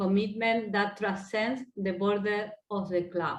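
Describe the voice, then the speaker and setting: With an Argentine accent, the speaker keeps a fairly even intonation. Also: woman. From Argentina. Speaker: sports innovation center head. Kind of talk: panel discussion. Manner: hesitant, non-native phrasing.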